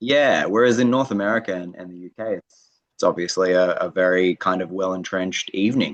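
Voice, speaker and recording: A man with an Australian accent speaks at a very deep, low pitch and a fairly quick pace, with ordinary pitch variation, big swings in loudness and a dry, close sound with no echo. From Australia, Sydney. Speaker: comedian. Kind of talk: interview.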